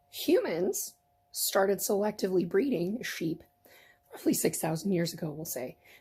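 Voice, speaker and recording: This woman's voice has a dark, mellow tone, is somewhat breathy, and sits at a medium pitch, with lively intonation and a playful tone. She goes at a moderate pace, and her loudness swings widely. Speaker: fiber crafter, weaver. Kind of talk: casual talk to camera. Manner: chatty, playful.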